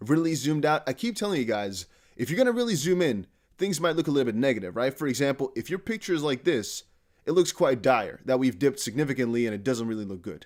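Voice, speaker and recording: A man's fairly high voice at a very fast pace, with very wide pitch swings, in a very clean recording with a silent background. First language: not English. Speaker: crypto YouTuber. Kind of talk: casual video commentary. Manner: conversational, direct address to viewers.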